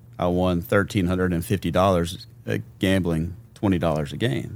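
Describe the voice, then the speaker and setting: A man speaks with a Memphis accent. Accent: Southern US (Memphis). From US South, Memphis, Tennessee. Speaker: guest sharing faith testimony. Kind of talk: testimony.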